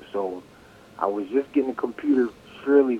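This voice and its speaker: A man with an American accent talks with fairly even intonation against noticeable background noise. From Connecticut, US. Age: 50s. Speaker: trade school graduate, former machinist. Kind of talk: interview.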